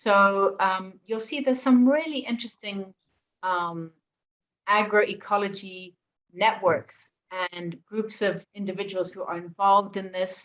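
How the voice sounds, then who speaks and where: At a fairly slow pace, a woman with a normal speaking voice talks in a medium pitch with ordinary pitch variation. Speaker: presenter for a faith-based environmental organisation. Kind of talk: presentation.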